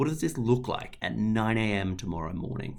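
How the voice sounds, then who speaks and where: Speaking with an Australian accent, a man talks at a moderate pace with ordinary pitch variation. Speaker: health service climate leader. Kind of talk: webinar presentation.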